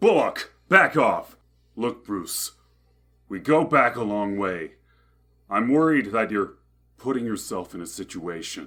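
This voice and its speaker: A man puts on a character voice at a medium pitch, with very wide pitch swings and big swings in loudness. He talks at a fairly slow pace, with long, frequent pauses. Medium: audio drama. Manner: gruff, earnest.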